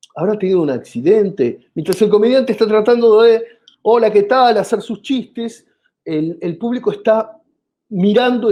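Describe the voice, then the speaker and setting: With an Argentine accent, a man speaks at a moderate pace in a high voice. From Argentina. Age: 50s. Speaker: comedian. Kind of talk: interview.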